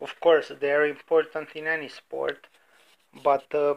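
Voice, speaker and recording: In an Eastern European accent, a man speaks at a fairly high pitch. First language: non-native English speaker. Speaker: sports betting podcaster. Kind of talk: casual podcast monologue. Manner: hesitant, many fillers.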